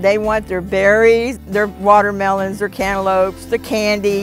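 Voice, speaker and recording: Against clear background music, a woman with an American accent speaks at a fairly slow pace in a dry sound with no echo. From Texas. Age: 60s. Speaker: truck driver. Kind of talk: interview answer. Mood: calm, matter-of-fact. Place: garden. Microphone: lapel.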